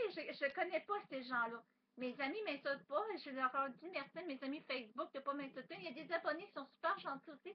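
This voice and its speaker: A woman speaks in a high voice with a Quebec accent. Her pace is fairly quick. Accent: Québécois French. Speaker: vlogger. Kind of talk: webcam monologue. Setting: webcam at home. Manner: fast; loud.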